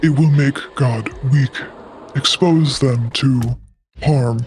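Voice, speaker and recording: A put-on character voice speaks at a very slow pace. Faint music plays in the background. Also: man, medium pitch for a man. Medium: actual play. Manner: terse, clipped.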